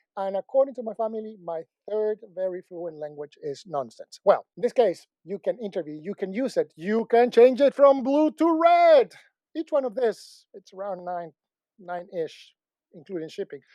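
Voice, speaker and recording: In a Spanish accent, a man with a high pitch and a dark, mellow tone talks at a moderate pace, his pitch swinging very widely and his loudness swinging a lot, in a dry, close sound with no echo and a quiet background. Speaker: tech product reviewer. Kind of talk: product review.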